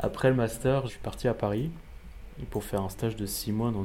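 Using an ordinary speaking voice, a man talks at a moderate pace, at a fairly low pitch and with fairly even intonation. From Alsace, France. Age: 30s. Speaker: motion designer. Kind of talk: interview.

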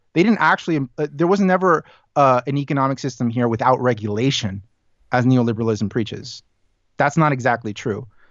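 With an ordinary speaking voice, a man talks at a fairly quick pace, his pitch medium and his intonation lively. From born in Los Angeles, raised from about 12 in Chile. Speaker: podcaster and translator. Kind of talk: casual interview conversation.

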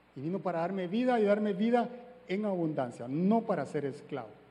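This man's voice is high-pitched and swings very widely in pitch. Audible room echo surrounds it. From Guatemala. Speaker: church speaker. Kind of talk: sermon.

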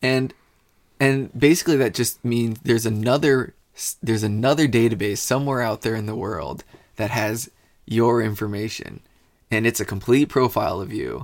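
The recording is very clean, with a silent background. A man talks at medium pitch and a moderate pace, with ordinary pitch variation. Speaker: podcast co-host, engineer. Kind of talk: casual chat. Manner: loud.

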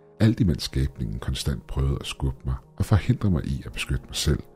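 Music plays in the background as a man with a very deep, low pitch speaks at a moderate pace, his intonation lively. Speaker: creepypasta narrator. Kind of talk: creepypasta horror narration, first-person story read aloud.

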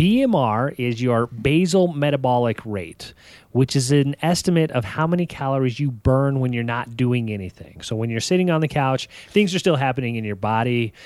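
An ordinary speaking voice from a man at medium pitch and moderate pace, on a very clean recording with a silent background. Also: lively intonation. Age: 30s. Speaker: fitness podcast co-host. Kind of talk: casual chat.

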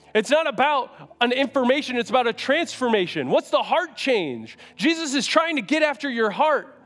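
A man's voice pitched extremely high, at a moderate pace with hardly any pauses, very even in loudness, with ordinary pitch variation and noticeable background noise. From US Northeast, Syracuse NY. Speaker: youth pastor. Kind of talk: sermon. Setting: church stage with audience. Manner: animated.

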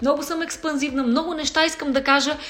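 A woman's high-pitched voice with audible room echo and noticeable background noise. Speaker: folk singer. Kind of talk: casual chat.

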